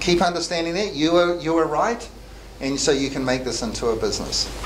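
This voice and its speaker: A man speaks with a New Zealand accent at a fairly quick pace. His pitch is fairly high with ordinary variation, over noticeable background noise. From New Zealand, Christchurch. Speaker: accountant and software entrepreneur; presenter. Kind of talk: motivational talk to students. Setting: classroom with live audience. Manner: halting. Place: meeting room. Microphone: camera far.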